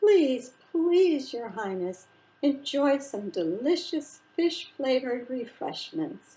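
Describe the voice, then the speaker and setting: A female-sounding put-on character voice, high in pitch, moves at a very slow pace. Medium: read story. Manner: fawning, formal.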